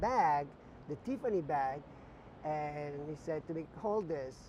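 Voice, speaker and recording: A man's dark, mellow voice with an Italian accent at a fairly slow pace. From northern Italy, near Venice. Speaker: visual merchandising director. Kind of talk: interview, personal career story. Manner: hesitant, many fillers.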